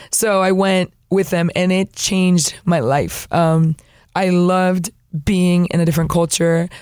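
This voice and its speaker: In a very clean recording with a silent background, a woman speaks fairly slowly at a fairly low pitch, her loudness very even. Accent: Spanish. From US Florida. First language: Spanish. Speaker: missionary sharing testimony. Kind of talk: testimony. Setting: studio. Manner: animated, humorous.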